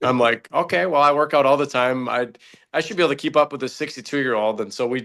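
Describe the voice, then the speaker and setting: Against a quiet background, a man with a medium pitch talks at a very fast pace. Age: 40s. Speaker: podcast host. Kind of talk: podcast interview. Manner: animated.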